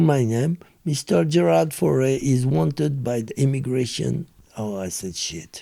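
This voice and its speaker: A man with a French accent, medium pitch and a dark, mellow tone, very wide pitch swings and a fairly slow pace. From France. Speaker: former criminal telling life story. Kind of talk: interview storytelling.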